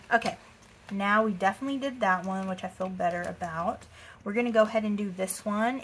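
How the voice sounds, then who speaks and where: Somewhat breathy, a woman with an American accent speaks at a fairly quick pace and medium pitch with ordinary pitch variation over light background noise. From Texas. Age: 20s. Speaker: budgeting vlogger. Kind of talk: casual talk to camera. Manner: chatty, upbeat. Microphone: phone near.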